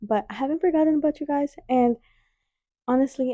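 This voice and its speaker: A loud woman's voice with a dark, mellow tone, a fairly quick pace, and a dry, close sound with no echo. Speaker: podcast host. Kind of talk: casual chat. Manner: animated.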